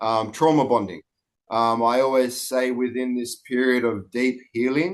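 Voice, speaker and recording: A man with an Australian accent, medium pitch and fairly even intonation, at a fairly slow pace. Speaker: breathwork coach. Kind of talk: podcast guest interview. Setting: online call.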